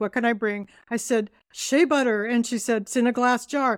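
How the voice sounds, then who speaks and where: A woman with a Californian accent, fairly high in pitch and fairly quick in pace, her dry, close sound without echo in a very clean recording over a silent background. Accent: Californian American. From US West Coast, Southern California. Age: 70s. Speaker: skincare founder. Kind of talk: interview conversation.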